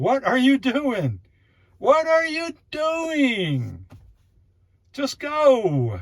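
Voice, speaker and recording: Shouting in a put-on character voice, someone speaks at a high pitch and a very slow pace, with long, frequent pauses. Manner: yelling, frustrated.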